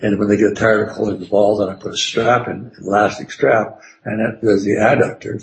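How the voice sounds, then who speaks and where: Fairly quick and somewhat breathy, a man talks in a fairly low voice with monotone, flat intonation. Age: 70s. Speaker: psychotherapist and trainer. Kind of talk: interview conversation.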